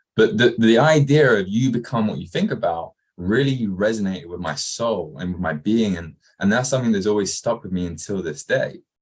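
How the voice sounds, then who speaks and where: At a fairly quick pace, a man speaks with lively intonation and a fairly low pitch. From England, Kent. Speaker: entrepreneur, former soccer coach. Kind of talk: interview.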